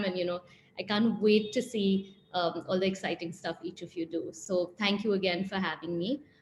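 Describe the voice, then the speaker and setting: Over music in the background, a woman talks at a moderate pace with a medium pitch and fairly even intonation. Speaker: celebrity stylist. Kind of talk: guest talk at online school event. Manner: hesitant, many fillers.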